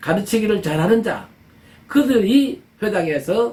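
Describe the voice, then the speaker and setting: A high-pitched man's voice. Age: 70s. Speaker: pastor. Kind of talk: sermon. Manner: halting.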